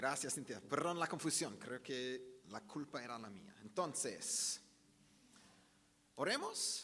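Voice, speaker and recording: With an Australian accent, a man speaks very slowly at medium pitch, his bright, sharp tone swinging very widely in pitch and greatly in loudness, broken by long, frequent pauses amid audible room echo. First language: English (speaking Spanish). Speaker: pastor. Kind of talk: sermon.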